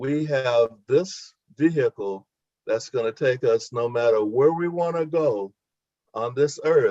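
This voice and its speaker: A man with a dark, mellow, somewhat breathy tone talks at a fairly slow pace with ordinary pitch variation, the sound dry and close with no echo. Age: 70s. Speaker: barber, webinar participant. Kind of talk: testimony.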